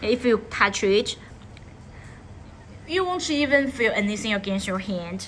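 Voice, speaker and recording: Speaking fairly slowly with a non-native accent, a woman with a fairly high pitch makes very wide pitch swings and leaves long, frequent pauses. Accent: non-native English, by own account. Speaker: live-stream leather bag seller. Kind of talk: live sales stream. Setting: live stream studio. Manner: halting, frequent self-corrections.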